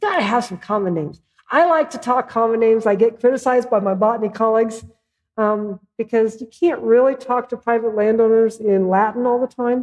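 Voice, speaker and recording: Speaking with a Midwestern accent, a woman uses a fairly high pitch and a fairly quick pace. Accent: Midwest. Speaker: plant ecologist presenting on insects. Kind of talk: lecture presentation. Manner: animated.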